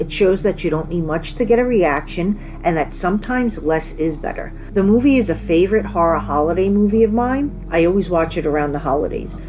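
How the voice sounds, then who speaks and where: Over noticeable background noise and audible room echo, a woman talks at a fairly quick pace with lively intonation. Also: fairly low pitch for a woman. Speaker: horror podcast host. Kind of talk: casual solo podcast monologue.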